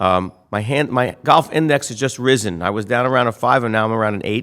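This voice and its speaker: In a normal speaking voice, a man with an American accent talks at a fairly quick pace, with medium pitch and ordinary pitch variation, on a very clean recording with a silent background. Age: 60s. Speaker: real estate developer. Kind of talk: interview. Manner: casual.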